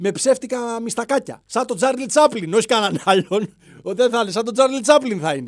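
A man at a moderate pace, extremely high in pitch, with ordinary pitch variation. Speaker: podcast host. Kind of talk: satirical monologue.

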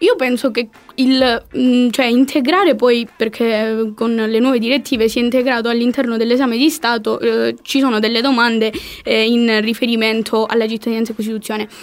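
Her pitch is fairly high and her loudness very even. The woman uses an unremarkable speaking voice at a moderate pace with fairly even intonation. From Calabria. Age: 20s. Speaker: political science student. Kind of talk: casual chat.

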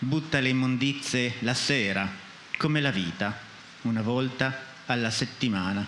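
A man speaks at a fairly slow pace with ordinary pitch variation. Noticeable background noise and audible room echo fill the recording. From Friuli, Maniago. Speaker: poet and publisher. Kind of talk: poetry reading.

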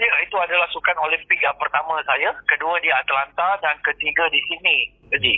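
A man speaks at a fairly quick pace. His loudness stays very even. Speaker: former Olympic hockey player. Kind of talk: interview.

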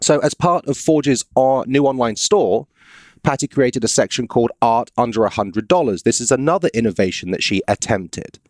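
Here a man has a normal speaking voice with an American accent and medium pitch. He talks at a fairly quick pace. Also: lively intonation. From US South. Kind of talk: casual chat, podcast, reading aloud an article.

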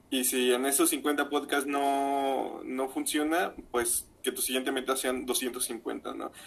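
A man speaks with a Mexican accent. His pace is very slow. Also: hardly any pauses. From Mexico, Zamora region (Michoacán). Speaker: podcaster. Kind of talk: casual chat.

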